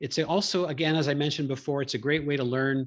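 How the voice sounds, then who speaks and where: A man's fairly high voice with a Canadian accent, set against a quiet background. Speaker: public speaking trainer and podcaster. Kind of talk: educational talk. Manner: fast; animated.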